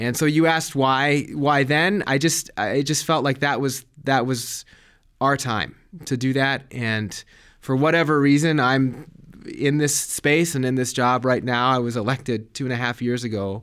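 A man with a General American accent and a plain, everyday voice speaks at a moderate pace in a medium pitch with fairly even intonation, in a very clean recording with a silent background. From Colorado, US. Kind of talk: interview.

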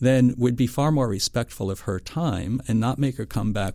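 On a very clean recording with a silent background, a man with an American accent speaks in a plain, everyday voice at a fairly low pitch and moderate pace. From western Pennsylvania, US. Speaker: foundation nutrition director. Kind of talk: interview.

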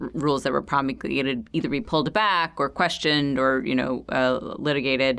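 A woman talks very fast in a very deep, low voice with vocal fry and ordinary pitch variation. The recording is very clean, with a silent background. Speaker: interviewer, energy program director. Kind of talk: interview.

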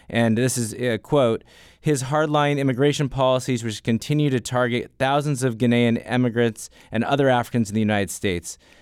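At a fairly quick pace, a man with an ordinary speaking voice talks in a medium pitch on a very clean recording with a silent background. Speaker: podcast host. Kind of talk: moderated panel discussion.

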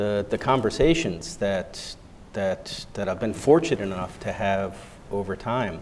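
With an American accent, a man speaks in an unremarkable speaking voice at a fairly low pitch and a fairly slow pace. His intonation is lively. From United States. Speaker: humanitarian stabilization official. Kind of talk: panel discussion.

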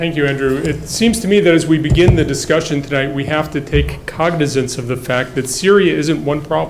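There is noticeable background noise as a man talks at a fairly quick pace. His pitch is fairly high, with ordinary variation. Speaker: think tank scholar giving opening remarks. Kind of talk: introductory remarks.

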